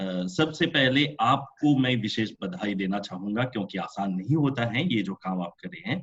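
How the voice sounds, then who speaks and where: With very wide pitch swings, a man talks on and on with hardly any pauses. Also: medium pitch for a man. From Mauritius. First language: French (speaking Hindi). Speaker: professor chairing a webinar. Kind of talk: webinar chair's summary remarks. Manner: hesitant, frequent filler sounds.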